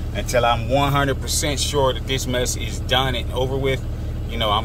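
The speaker is a man going at a very fast pace. Background noise is noticeable, and the sound is dry, with no echo. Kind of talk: casual vlog chat. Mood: concerned, earnest. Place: car. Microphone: phone near.

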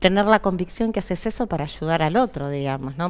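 A woman's voice with lively intonation. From Argentina. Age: 40s. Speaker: physician; interview guest. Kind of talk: interview; interview answer. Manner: halting. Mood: earnest, reflective. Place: studio. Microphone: headset.

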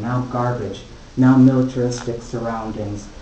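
Speaking with an American accent, a man talks at a fairly slow pace. Audible room echo and light background noise are present. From United States. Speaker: poet and visual artist. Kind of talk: poetry reading. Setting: live gallery reading. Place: hall. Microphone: camera far.

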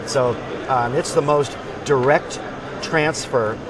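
Over noticeable background noise, a man speaks with fairly even intonation. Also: dry sound with no echo. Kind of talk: interview answer. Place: hall.

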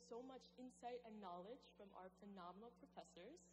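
Woman at a moderate pace over light background noise. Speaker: speaker. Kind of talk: commencement speech. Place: hall.

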